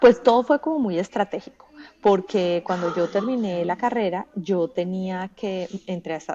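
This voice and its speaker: The pace is fairly slow. The intonation is lively. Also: woman. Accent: strong Bogotá. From Colombia, Bogotá. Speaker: journalist and audiovisual producer. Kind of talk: podcast interview.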